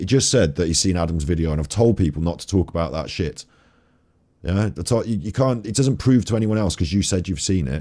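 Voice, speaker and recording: A man puts on a character voice that is raspy and very deep, with very low pitch. He speaks at a very fast pace with lively intonation. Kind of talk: forceful, no-nonsense. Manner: stern, serious, scolding.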